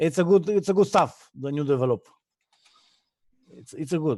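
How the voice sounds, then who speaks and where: A man speaks with a non-native accent at a moderate pace, his pitch fairly high and swinging very widely. The tone is dark and mellow, and the sound is dry and close with no echo. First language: not English. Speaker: player calling in. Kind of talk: live stream call-in. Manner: halting.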